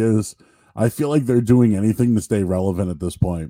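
This man has a dark, mellow tone at a medium pitch. He talks at a very fast pace. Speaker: podcast host. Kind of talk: casual live interview show. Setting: live stream.

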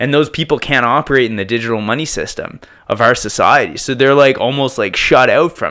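At a fairly quick pace, a man speaks in an ordinary speaking voice at medium pitch, with ordinary pitch variation. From Prince Edward Island, Canada. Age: 30s. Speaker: music producer and DJ. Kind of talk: casual chat. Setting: home studio.

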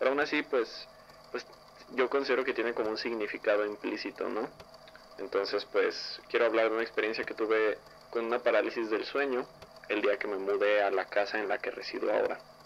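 Fairly quick speech from a man over noticeable background noise. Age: young. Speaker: listener sharing paranormal story. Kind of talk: testimony.

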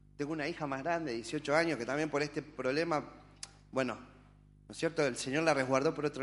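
Here is a man with a plain, everyday voice, pitched fairly high. He keeps a moderate pace and fairly even intonation. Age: 30s. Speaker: church member. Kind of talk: testimony.

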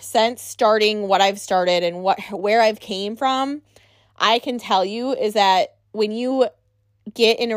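In an American accent, a woman speaks at a fairly slow pace in an animated tone, her fairly high pitch showing ordinary variation. The recording is very clean, with a silent background. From Wisconsin. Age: 30s. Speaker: podcast host. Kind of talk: casual monologue.

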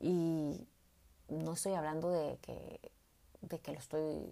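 A woman speaks with a dark, mellow, warm tone. Her very deep, low pitch stays monotone and flat. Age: 40s. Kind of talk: faith-based personal testimony. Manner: warm, hesitant with repetitions.

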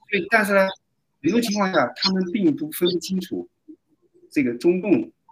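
A man talks at a fairly quick pace. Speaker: doctor. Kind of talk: casual chat. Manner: halting.

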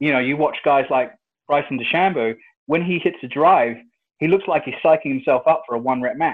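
A man's fairly high-pitched, fairly quick delivery: an ordinary speaking voice with ordinary pitch variation. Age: 30s. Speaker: strength and conditioning coach. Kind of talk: interview.

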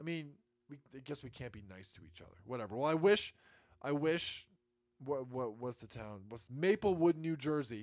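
A man at medium pitch and a moderate pace shows very wide pitch swings and big swings in loudness. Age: 20s. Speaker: political podcast host. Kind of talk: solo political commentary. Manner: repeats words often, stumbling.

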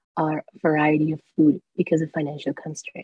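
Somewhat breathy and fairly low in pitch, a woman speaks fairly quickly in a dark, mellow tone, with a dry, close sound and no echo. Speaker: student panel moderator. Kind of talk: panel moderation.

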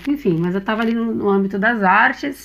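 Noticeable background noise sits under fairly quick speech with ordinary pitch variation. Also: woman. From Brazil, São Paulo. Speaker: musician and therapist. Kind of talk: interview.

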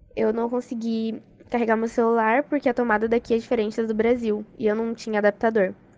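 A woman's fairly high, monotone, flat voice at a fairly quick pace. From Brazil, Cuiabá. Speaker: exchange student. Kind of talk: interview testimony.

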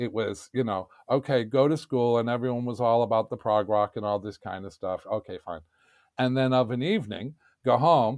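A man talks at a moderate pace with a New York accent. His pitch is medium. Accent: New York American. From New York City. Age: 60s. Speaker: podcast guest. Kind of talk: casual chat.

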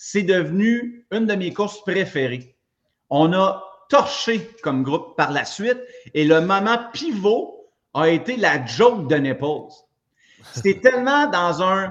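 Talking at a very slow pace with long, frequent pauses, a man uses a high pitch. His pitch swings very widely. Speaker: gym owner and fitness coach. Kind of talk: casual chat. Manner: halting.

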